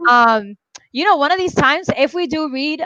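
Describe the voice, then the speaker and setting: A woman's bright, sharp voice with lively intonation at a moderate pace. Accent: Puerto Rican. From Puerto Rico. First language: Spanish. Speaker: book video host. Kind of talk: casual chat. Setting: live stream.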